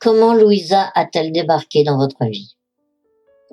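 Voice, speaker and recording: Music plays in the background. Over it, a woman speaks with very wide pitch swings. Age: 70s. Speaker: widow giving religious testimony. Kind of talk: testimony. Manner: formal.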